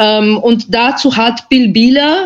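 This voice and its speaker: Fairly high-pitched female speech with ordinary pitch variation. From Austria. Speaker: journalist. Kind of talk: panel discussion.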